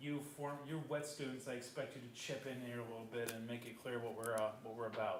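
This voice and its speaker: There is audible room echo and noticeable background noise as a man talks at a fairly quick pace. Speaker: adjunct college instructor, water treatment operator. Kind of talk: classroom presentation. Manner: fast.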